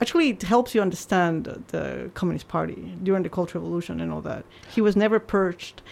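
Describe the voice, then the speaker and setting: A woman with a Spanish accent, talking at a very fast pace. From Peru. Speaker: journalist. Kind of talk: casual interview. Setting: studio.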